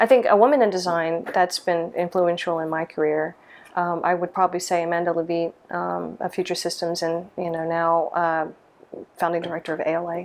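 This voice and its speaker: With an American accent, a woman talks at a fairly quick pace, her fairly low pitch held in fairly even intonation. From US South, small-town Mississippi. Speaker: lighting designer. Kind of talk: interview monologue. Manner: hesitant, many fillers.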